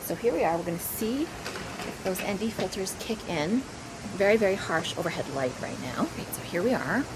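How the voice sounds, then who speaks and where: Over noticeable background noise, a woman talks at a moderate pace. Her pitch is medium, with very wide swings. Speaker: camera reviewer vlogger. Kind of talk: casual vlog review. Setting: outdoors in backyard. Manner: quiet, not projecting.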